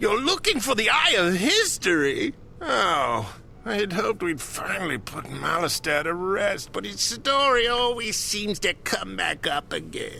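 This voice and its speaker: Over clear background noise, a man uses a put-on character voice at a moderate pace. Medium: game stream.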